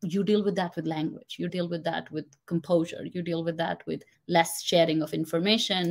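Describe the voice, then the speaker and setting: On a very clean recording with a silent background, a woman with a non-native accent speaks fairly quickly at a fairly low pitch, with fairly even intonation. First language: not English. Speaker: confidence coach. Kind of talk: interview.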